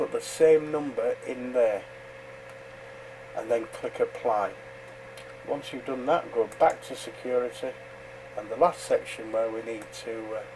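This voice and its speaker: A man with a British accent, at a fairly slow pace with long, frequent pauses, amid noticeable background noise. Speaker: amateur radio operator. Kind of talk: tutorial. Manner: hesitant, many fillers.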